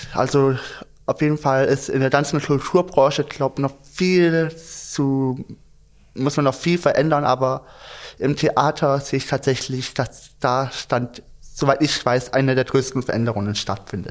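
A man speaks in a plain, everyday voice, fairly high in pitch with fairly even intonation. The recording is very clean, with a silent background. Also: fairly slow pace. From Stuttgart. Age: young. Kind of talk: casual chat.

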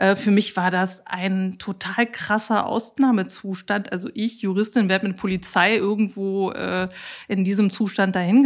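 A woman with an ordinary speaking voice and medium pitch speaks with fairly even intonation on a very clean recording with a silent background. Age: 40s. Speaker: lawyer and patient with bipolar disorder. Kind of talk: interview.

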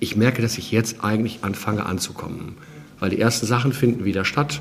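A man at a medium pitch speaks at a moderate pace, his pitch varying in an ordinary way, while noticeable background noise sits behind him. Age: 50s. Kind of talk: interview.

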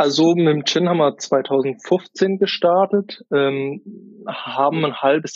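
His pitch sits fairly high for a man and varies in an ordinary way. The man uses a plain, everyday voice. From Kaiserstuhl, Baden, southwest Germany. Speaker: gin distiller and wine sales worker. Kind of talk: interview.

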